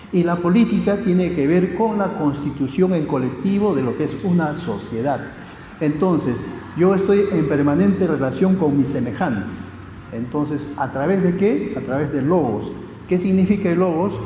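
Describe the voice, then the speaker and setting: Music plays behind a man speaking at a moderate pace, with audible room echo. His pitch is fairly high and his intonation lively. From Peru. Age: 60s. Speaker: sociologist. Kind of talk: interview. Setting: municipal youth centre.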